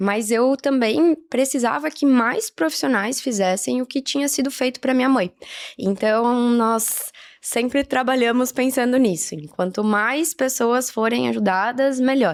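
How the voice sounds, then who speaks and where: A woman's high-pitched voice, lively in intonation, at a fairly slow pace. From southern Brazil, Caxias do Sul, Rio Grande do Sul. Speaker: physiotherapist and marathon runner. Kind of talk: podcast interview.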